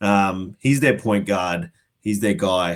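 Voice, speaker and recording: On a very clean recording with a silent background, a man with an Australian accent speaks at a moderate pace in a fairly low pitch. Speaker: fantasy basketball podcast guest. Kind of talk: casual chat.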